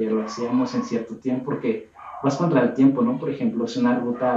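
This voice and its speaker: A man speaks at a medium pitch. He has a normal speaking voice. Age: 20s. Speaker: hiking group leader. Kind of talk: casual chat.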